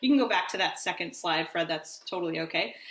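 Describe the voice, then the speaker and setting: Over noticeable background noise and audible room echo, a woman speaks with an American accent and lively intonation. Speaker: rabbi. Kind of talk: lecture. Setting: video call.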